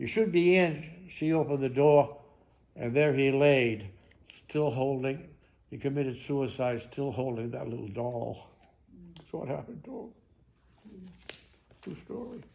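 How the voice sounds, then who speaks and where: A fairly high-pitched man speaks fairly slowly with lively intonation, long, frequent pauses, big swings in loudness and audible room echo. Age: 90s. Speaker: war veteran. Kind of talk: talk to an audience. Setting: library talk. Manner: halting.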